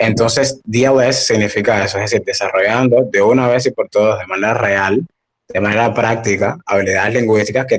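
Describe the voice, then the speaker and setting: At a moderate speed, an ordinary speaking voice talks with fairly even intonation. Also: man. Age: 20s. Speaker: language academy founder. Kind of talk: casual interview.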